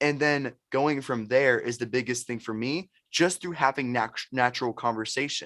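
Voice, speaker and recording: A man at a moderate pace with fairly even intonation and hardly any pauses, on a very clean recording with a silent background. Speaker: sales expert and entrepreneur. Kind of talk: podcast interview. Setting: podcast. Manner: high energy.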